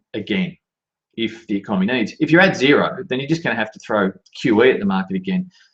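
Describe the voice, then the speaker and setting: A man with an Australian accent talks at a very fast pace, his pitch swinging very widely. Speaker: market analyst. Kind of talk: market commentary. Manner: halting, with many fillers.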